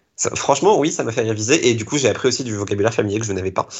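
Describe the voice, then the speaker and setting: Pitched at a medium level, this man's somewhat breathy voice shows ordinary variation in pitch. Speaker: blogger and TV series enthusiast. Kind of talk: casual chat. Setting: live stream.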